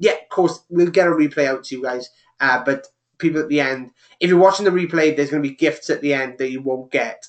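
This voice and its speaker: This man's pitch sits fairly high. He speaks at a very fast pace. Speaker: online business coach. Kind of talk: live webinar tutorial. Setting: live webinar broadcast. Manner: fast, excitable.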